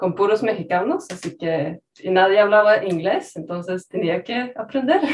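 A woman with a Swedish accent talks with lively intonation. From rural Sweden. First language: Swedish (speaking Spanish). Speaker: language learning content creator. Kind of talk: casual interview chat.

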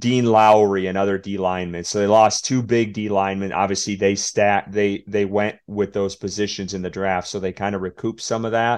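A fairly low-pitched man's voice with a Wisconsin accent, monotone and flat, over a quiet background. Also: moderate pace, hardly any pauses. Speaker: podcast host. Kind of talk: casual chat.

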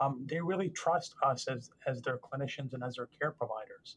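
Speaking with a General American accent, a man uses a fairly high pitch that is somewhat breathy. His pace is moderate, with ordinary pitch variation. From US, Northern Virginia. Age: 40s. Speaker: trauma surgeon. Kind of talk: interview.

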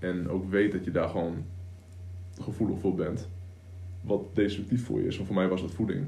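A man with a very deep, low voice speaks at a moderate pace with fairly even intonation, a dark, mellow tone, and long, frequent pauses, with audible room echo. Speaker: online entrepreneur, coach. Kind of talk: casual chat. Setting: home studio.

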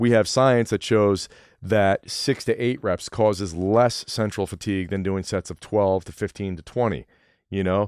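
A man with a normal speaking voice talks at a moderate pace and fairly low pitch, with fairly even intonation, in a very clean recording with a silent background and a dry, close sound with no echo. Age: 40s. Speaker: fitness coach. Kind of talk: casual chat.

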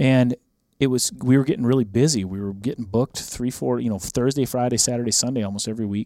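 A man speaks at medium pitch with an American accent and ordinary pitch variation. The very clean recording has a silent background and a dry, close sound with no echo. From rural Minnesota, US Upper Midwest. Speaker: country music artist and hunting TV host. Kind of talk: casual chat. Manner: animated.

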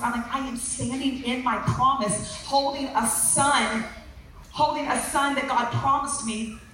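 Against noticeable background noise and audible room echo, a woman with a high voice speaks in an animated tone with ordinary pitch variation. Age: 40s. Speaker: preacher. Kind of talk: sermon.

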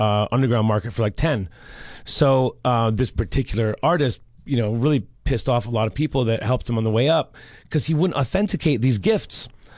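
A man's medium-pitched, ordinary speaking voice with an American accent, fairly quick pace, very even loudness and ordinary pitch variation. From Los Angeles, London and Detroit. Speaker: artist. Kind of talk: casual chat.

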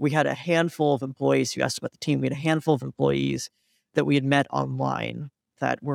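A man talks at a fairly quick pace with an American accent. The sound is dry and close, with no echo. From US Midwest, Cleveland, Ohio. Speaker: tech startup founder and CEO. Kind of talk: interview.

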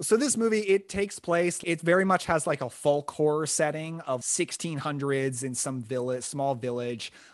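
In an ordinary speaking voice, a man talks at a fairly high pitch and moderate pace with lively intonation, in a very clean recording with a silent background. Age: 20s. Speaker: podcast host and film fan. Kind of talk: casual chat.

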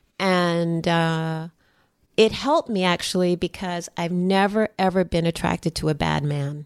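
A woman with an American accent, a plain, everyday voice and a fairly low pitch speaks at a fairly slow pace with fairly even intonation, in a very clean, dry, close recording with no echo and a silent background. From New York. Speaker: artist. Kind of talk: interview. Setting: her home.

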